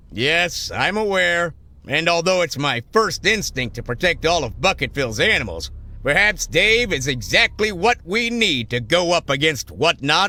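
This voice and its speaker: A man's cartoonish character voice, high-pitched, at a moderate pace, in a very clean recording with a silent background. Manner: formal, measured.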